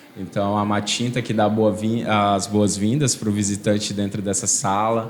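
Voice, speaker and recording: Over noticeable background noise and audible room echo, a man speaks slowly-ish at a fairly slow pace, his fairly low voice held in a monotone, flat intonation. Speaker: museum projects coordinator. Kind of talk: interview. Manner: halting, repeats words.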